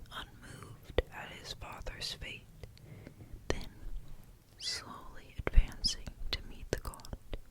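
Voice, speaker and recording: Someone whispers at a very slow pace. Noticeable background noise runs beneath the voice. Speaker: ASMR story reader. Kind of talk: whispered story reading for ASMR. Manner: whispered.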